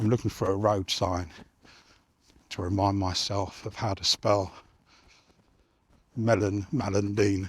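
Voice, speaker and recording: A man mumbles at a fairly slow pace in a fairly low, somewhat breathy voice with monotone, flat intonation and long, frequent pauses, on a very clean recording with a silent background. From southern England. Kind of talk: casual talk to camera. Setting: outdoors. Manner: mumbling.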